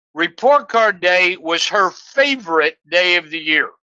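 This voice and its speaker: A man with a high pitch uses a raised, projected voice in a dry, close sound with no echo. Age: 70s. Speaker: business mentor. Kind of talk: podcast interview.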